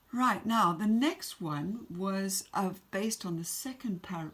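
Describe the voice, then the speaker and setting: With an English accent, a woman speaks at a very slow pace. Her medium pitch varies in an ordinary way. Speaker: secondary school English teacher. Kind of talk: recorded remote lesson.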